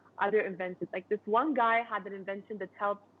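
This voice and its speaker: This woman talks at a fairly quick pace and medium pitch in an ordinary speaking voice. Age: 20s. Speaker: inventor. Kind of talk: interview. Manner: casual, conversational.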